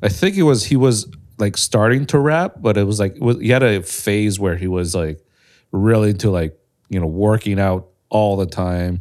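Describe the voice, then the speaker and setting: A man's fairly low voice at a moderate pace with ordinary pitch variation, in a very clean recording with a silent background. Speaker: content creator and podcast co-host. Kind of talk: casual chat. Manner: audible breathing. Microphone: too close to mouth.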